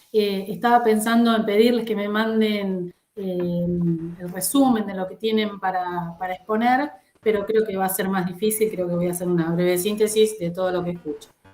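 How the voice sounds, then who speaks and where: A woman speaks in a normal speaking voice at medium pitch, at a moderate pace, with fairly even intonation. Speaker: psychologist and lecturer, rapporteur. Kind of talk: panel discussion.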